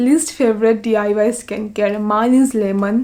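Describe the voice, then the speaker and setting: Fairly slow and flat in a monotone, a woman speaks with a fairly high pitch and a dark, mellow tone. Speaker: beauty vlogger. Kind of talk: tutorial.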